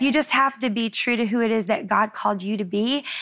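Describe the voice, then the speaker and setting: A woman's normal speaking voice, fairly high in pitch, with ordinary pitch variation and a fairly quick pace. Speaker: singer. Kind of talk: panel conversation.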